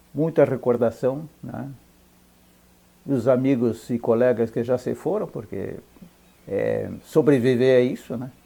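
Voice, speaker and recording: A man with vocal fry and a dark, mellow tone speaks at a medium pitch with ordinary pitch variation. His pace is fairly slow, with long, frequent pauses and big swings in loudness. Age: 70s. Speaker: ranch owner. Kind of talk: interview. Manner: halting.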